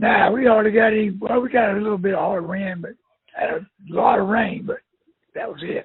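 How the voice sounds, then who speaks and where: A man's high voice at a fairly quick pace, with ordinary pitch variation and big swings in loudness. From northeast Florida (Jacksonville). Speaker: prospective customer. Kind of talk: phone conversation. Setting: phone call.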